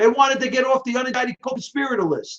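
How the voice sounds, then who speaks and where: Speaking with a New York accent at a fairly quick pace, a man sounds animated, his pitch extremely high. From New York (Brooklyn). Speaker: political live-stream host. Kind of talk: live-stream commentary. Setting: live video stream. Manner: fast.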